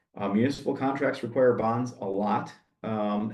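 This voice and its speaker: A man speaks in a plain, everyday voice at a medium pitch. His pace is moderate and his intonation fairly even. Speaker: insurance agent and former arborist. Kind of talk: Q&A answer; webinar presentation. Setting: webinar.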